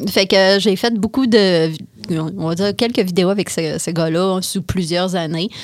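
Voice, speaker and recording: A woman with a Quebec accent speaks at a fairly slow pace, at medium pitch, with ordinary pitch variation. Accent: Québécois French. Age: 30s. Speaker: woman with paraplegia. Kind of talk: interview. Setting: studio.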